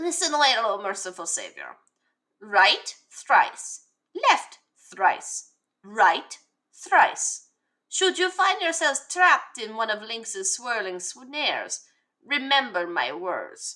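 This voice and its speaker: A woman puts on a character voice, high-pitched, speaking very slowly with very wide pitch swings and long, frequent pauses. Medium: game stream. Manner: wheedling, overly polite.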